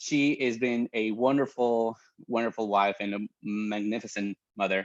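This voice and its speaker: Speaking at a fairly slow pace with a Spanish accent, a man uses a medium pitch and ordinary pitch variation. The sound is dry and close with no echo, over a quiet background. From Mexico. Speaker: pastor. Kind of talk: casual chat.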